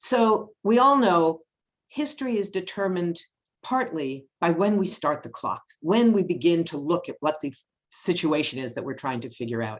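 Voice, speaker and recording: Her pitch swinging very widely and her loudness in big swings, a woman with a fairly low pitch speaks at a moderate pace. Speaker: policy analyst. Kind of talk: webinar presentation.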